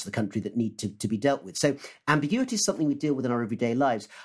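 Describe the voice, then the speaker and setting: The recording is very clean, and the background is silent. The speaker is a man with a British accent. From UK. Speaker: history professor. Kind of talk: casual panel discussion.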